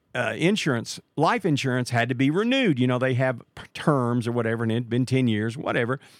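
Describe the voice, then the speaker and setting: With an American accent, a man speaks in a plain, everyday voice at a medium pitch and a fairly quick pace, using ordinary pitch variation. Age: 60s. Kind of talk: religious talk show interview with prayer. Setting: live call.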